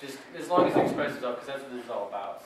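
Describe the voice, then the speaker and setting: Very fast talking in an American accent over noticeable background noise. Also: man. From Wisconsin. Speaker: slam poet. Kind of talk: casual talk to live audience. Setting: live poetry slam, open mic.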